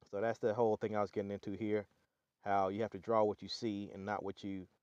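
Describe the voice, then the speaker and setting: In a Southern US accent, a man talks fairly quickly at a fairly low pitch, with a dry, close sound and no echo. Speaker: artist and channel owner. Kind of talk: casual website walkthrough. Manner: halting, many fillers.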